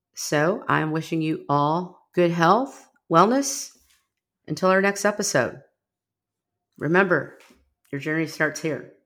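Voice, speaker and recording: A woman with an American accent speaks very slowly in a fairly low voice, with long, frequent pauses. Her intonation is lively. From US Midwest, Rockford, Illinois. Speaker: podcast host. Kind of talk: podcast trailer monologue, partly scripted.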